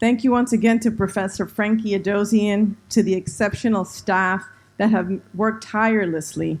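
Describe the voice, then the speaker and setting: A woman at a moderate pace, with fairly even intonation, in a very clean recording with a silent background. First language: Spanish. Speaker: university administrator. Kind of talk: formal closing speech. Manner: formal.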